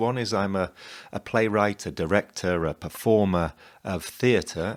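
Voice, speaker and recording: On a very clean recording with a silent background, a man with a British accent speaks with a very deep, low pitch and ordinary pitch variation. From England. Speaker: playwright and performer. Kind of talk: promotional presentation.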